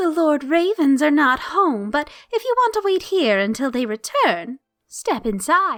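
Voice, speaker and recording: Doing a put-on character voice, a woman speaks at a high pitch and moderate pace with very wide pitch swings. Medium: read story.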